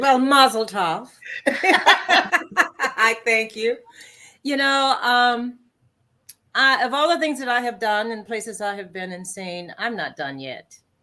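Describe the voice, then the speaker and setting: Very slow and lively, a woman with a Southern US accent speaks in a high, bright, sharp voice with big swings in loudness on a very clean recording with a silent background. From US South, South Carolina. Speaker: singer. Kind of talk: interview.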